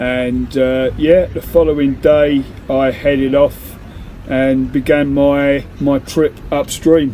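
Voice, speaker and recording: Very slow, monotone, flat delivery against noticeable background noise. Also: man, fairly high pitch for a man. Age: 50s. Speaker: boat-living vlogger. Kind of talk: casual vlog narration. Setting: on a boat on a river. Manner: relaxed, with many filler sounds.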